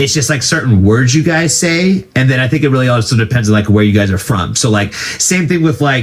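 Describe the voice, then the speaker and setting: A man with an American accent speaks fairly quickly in an unremarkable speaking voice at medium pitch, with hardly any pauses. His intonation is lively and his loudness very even. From United States. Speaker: music reaction streamer. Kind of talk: casual chat.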